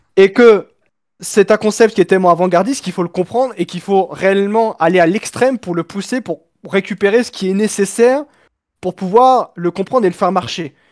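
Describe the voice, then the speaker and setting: Fairly quick speech from a man, set against a quiet background. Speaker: F1 fan on stream call; streamer. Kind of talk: casual debate. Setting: webcam microphone over voice chat. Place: home room.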